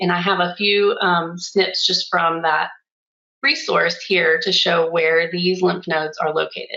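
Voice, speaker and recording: At a moderate pace, a woman with an ordinary speaking voice talks in a fairly low pitch with fairly even intonation. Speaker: oncology coding educator, webinar presenter. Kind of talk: webinar lecture.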